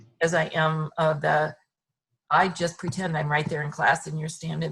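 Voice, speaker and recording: At a moderate pace, a woman with a very deep, low pitch speaks with vocal fry. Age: 60s. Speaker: fitness client sharing recovery experience. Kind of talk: interview testimony.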